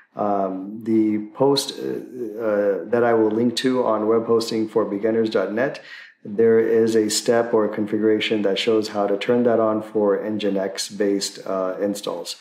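Audible room echo surrounds a man's voice. He speaks very slowly in a flat monotone. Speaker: tech tutorial host. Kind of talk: tutorial. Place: home room.

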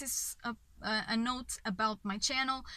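A woman with a Portuguese accent uses a raised, projected voice at a very slow pace, with ordinary pitch variation. The sound is dry with no echo against a quiet background. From Portugal. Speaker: film reviewer. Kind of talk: video review monologue. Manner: halting, many fillers. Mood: enthusiastic, reflective. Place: car. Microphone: phone near.

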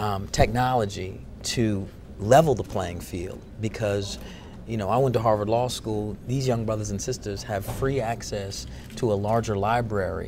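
Man with a fairly low pitch and ordinary pitch variation, moderate pace, light background noise. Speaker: interviewee, actor. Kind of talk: interview answer. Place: hall. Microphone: lapel.

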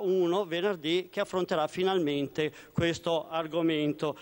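With ordinary pitch variation, the man talks at a moderate pace. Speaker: opposition member of parliament. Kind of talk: parliamentary question time oratory. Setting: parliament chamber. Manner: forceful, urgent, accusatory; formal, emphatic. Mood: critical, combative. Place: hall. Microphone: podium.

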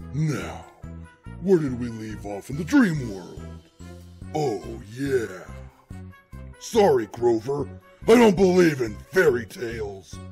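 Faint music plays in the background. A man speaks very slowly at a medium pitch. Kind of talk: comic parody voice acting. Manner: sneering, sarcastic.

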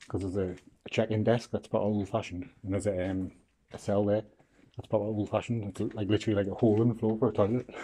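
Over light background noise, a man talks at a very fast pace in a dark, mellow tone with monotone, flat intonation. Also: fairly low pitch for a man. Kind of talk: casual vlog chat. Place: hall. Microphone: phone near.

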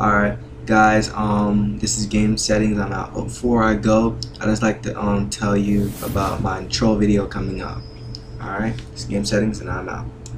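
Over noticeable background noise, a man with a fairly low voice talks at a moderate pace with lively intonation. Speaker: gaming video creator. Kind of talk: gameplay tutorial commentary. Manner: hesitant, many filler words.

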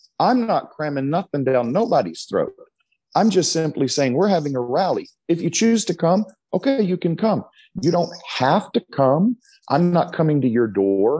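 High-pitched American-accented man, dark, mellow tone, very wide pitch swings, quiet background. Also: moderate pace, very even loudness. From Texas. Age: 50s. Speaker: pastor. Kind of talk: interview. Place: church. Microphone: earbuds.

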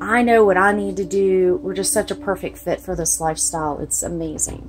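With a Southern US accent, a woman talks at a fairly quick pace over light background noise. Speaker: RV owner. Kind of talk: casual talk to camera. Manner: casual, chatty. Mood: cheerful, excited. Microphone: phone near.

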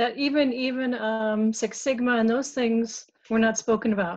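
Fairly even in intonation and moderate in pace, the woman has an unremarkable speaking voice. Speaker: HR professional. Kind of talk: casual discussion. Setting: video call.

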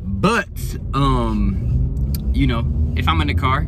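A man talks over loud background noise, his voice dry with no echo. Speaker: vlogger. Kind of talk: casual vlog chat. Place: car. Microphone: phone near.

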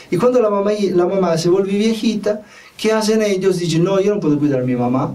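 A man with an Italian accent speaks at a fairly quick pace, his pitch high for a man, with ordinary pitch variation. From Italy. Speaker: spiritual teacher and self-help video host. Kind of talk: monologue talk to camera, self-help advice. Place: studio. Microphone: lapel.

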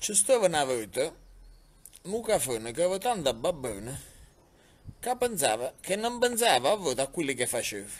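A man with a fairly high pitch talks at a moderate pace, pausing long and often. His pitch swings very widely. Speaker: mayor. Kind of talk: folk tale reading. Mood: humorous, amused. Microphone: phone near.

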